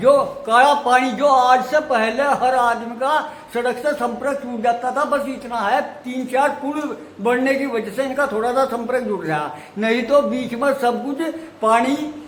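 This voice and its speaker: A man speaks at an extremely high pitch with ordinary pitch variation. Noticeable background noise and audible room echo come through. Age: 70s. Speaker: elderly villager. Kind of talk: interview testimony.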